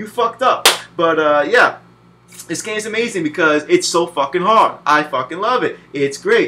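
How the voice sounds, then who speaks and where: In an American accent, a man speaks in a raised, projected voice with an animated tone over noticeable background noise. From New Jersey, US. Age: 20s. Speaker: video game reviewer. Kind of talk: casual spoken game review.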